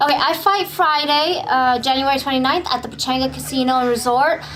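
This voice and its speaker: With music in the background and audible room echo, a woman talks at a fairly quick pace in a high pitch. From California, Bay Area (East Oakland, San Jose); born in Vietnam. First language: Vietnamese. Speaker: Muay Thai and MMA fighter. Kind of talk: interview. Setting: gym.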